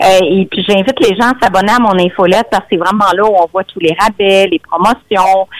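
Speaking at a fairly quick pace with hardly any pauses, a woman with a Quebec accent keeps a medium pitch and fairly even intonation in a dry, close sound with no echo. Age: 50s. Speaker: nutritionist. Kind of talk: radio interview.

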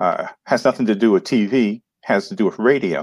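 A man with an American accent talks at a moderate pace in a medium pitch. It is a normal speaking voice, heard dry and close with no echo. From New York City. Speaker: entrepreneur and marketing coach. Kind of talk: interview.

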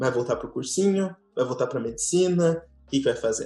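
Somewhat breathy, the voice moves at a moderate pace. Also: man. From Brazil, Tocantins. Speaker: former tour guide. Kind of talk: casual chat.

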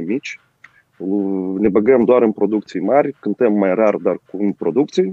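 A man speaks with a Moldovan accent. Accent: Moldovan Romanian. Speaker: rock musician. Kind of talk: casual interview. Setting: remote call.

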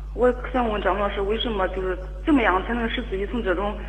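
Fairly quick speech from a woman amid audible room echo and noticeable background noise. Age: 30s. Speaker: caller seeking relationship advice. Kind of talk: phone-in advice call. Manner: halting, repeating words.

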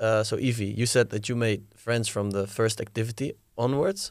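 This man has a Dutch accent and a medium-pitched voice. He talks at a moderate pace in a very clean recording with a silent background. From Netherlands. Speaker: podcast host. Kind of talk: interview.

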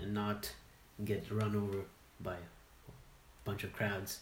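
There is audible room echo. A man is speaking. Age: young. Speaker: traveling friend. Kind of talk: casual chat.

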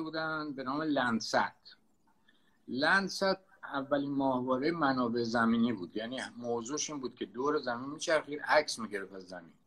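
A man talks at a moderate pace with lively intonation. His tone is bright and sharp. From Tehran, Iran. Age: 70s. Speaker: sailor and desert explorer. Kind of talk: interview, storytelling.

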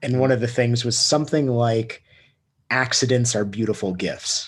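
Against a quiet background, a man with a medium pitch and a somewhat breathy voice speaks at a moderate pace with fairly even intonation. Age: 30s. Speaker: podcast host. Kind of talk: casual chat.

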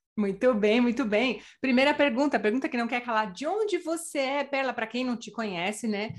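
With a high pitch and lively intonation, a woman speaks at a moderate pace with hardly any pauses against a quiet background. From Brazil. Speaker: podcast host. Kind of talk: interview.

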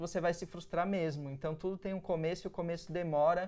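On a very clean recording with a silent background, a man talks at a high pitch and a moderate pace. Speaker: advertising creative and entrepreneur. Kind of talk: interview.

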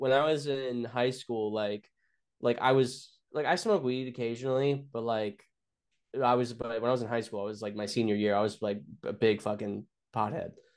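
The background stays quiet as a man talks in a medium-pitched voice. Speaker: stand-up comedian. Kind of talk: casual chat, storytelling. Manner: profane, animated storyteller.

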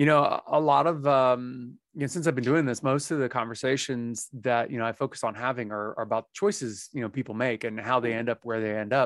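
Speaking at a medium pitch with ordinary pitch variation, a man with an unremarkable speaking voice talks at a fairly quick pace with hardly any pauses, the sound dry and close with no echo. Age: 40s. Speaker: podcast host. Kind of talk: casual chat.

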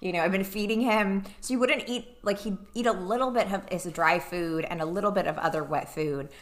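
A plain, everyday voice from a woman at medium pitch, fairly quick, with hardly any pauses and ordinary pitch variation. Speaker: podcast co-host. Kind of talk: casual chat. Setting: studio, wearing earbuds.

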